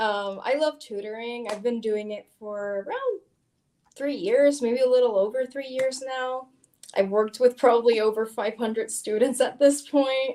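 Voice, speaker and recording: A woman's high-pitched voice at a moderate pace, with fairly even intonation. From Puerto Rico. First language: Spanish. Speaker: tutor. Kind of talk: casual discussion livestream.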